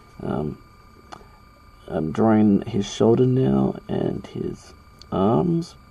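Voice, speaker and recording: Over noticeable background noise, a man with a fairly low voice talks very slowly with very wide pitch swings and long, frequent pauses. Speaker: drawing tutorial youtuber. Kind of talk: tutorial. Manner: casual, hesitant with fillers.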